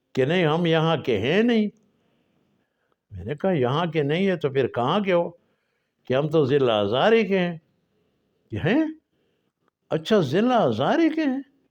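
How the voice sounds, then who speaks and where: The voice moves through very wide pitch swings, with long, frequent pauses. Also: man, high pitch for a man. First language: Pashto (speaking Hindi). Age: 80s+. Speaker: storyteller. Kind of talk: personal storytelling. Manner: halting.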